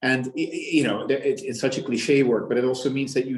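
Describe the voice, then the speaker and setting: A man speaks with a Dutch accent. His pace is fairly quick. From Netherlands. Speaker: business executive. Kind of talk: interview. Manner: halting, many repetitions.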